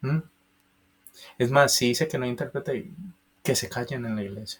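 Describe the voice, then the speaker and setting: With an Antioquian accent, a man speaks at a moderate pace and medium pitch. His voice is somewhat breathy, with ordinary pitch variation. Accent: Colombian paisa Spanish. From Colombia, Antioquia (paisa region). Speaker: preacher. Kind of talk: bible teaching.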